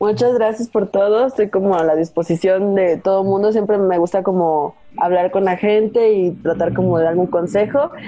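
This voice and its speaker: A woman talks at a medium pitch and a moderate pace, with ordinary pitch variation and very even loudness. Hers is an unremarkable speaking voice with hardly any pauses. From Veracruz, Mexico. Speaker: UX researcher, sociologist. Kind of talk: casual interview. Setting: video call.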